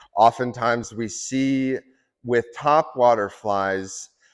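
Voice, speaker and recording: A man with an American accent at a medium pitch, very slow in pace, with ordinary pitch variation and a quiet background. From Wisconsin. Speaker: fly fishing guide. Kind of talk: presentation to audience.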